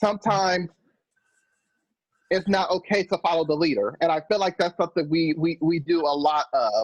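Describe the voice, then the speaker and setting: The voice is loud, with fairly even intonation and a dry, close sound with no echo. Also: man. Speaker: discussion participant. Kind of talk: group video call discussion. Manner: halting, many fillers and restarts.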